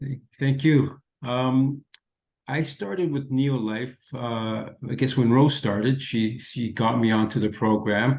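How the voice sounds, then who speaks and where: At a very slow pace, a man talks with fairly even intonation and a medium pitch. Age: 60s. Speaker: product user giving testimony. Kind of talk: testimony.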